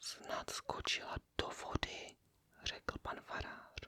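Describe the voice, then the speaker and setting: A woman whispering at a very slow pace. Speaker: ASMR content creator reading a classic novel aloud. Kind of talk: whispered reading of novel dialogue and narration. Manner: whispered, soft, relaxing.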